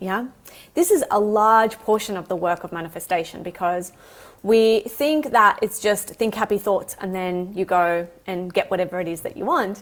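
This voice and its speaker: A normal speaking voice from a woman, medium in pitch, at a moderate pace with ordinary pitch variation, on a very clean recording with a silent background. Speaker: holistic coach and yoga teacher. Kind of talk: live stream talk. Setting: live stream.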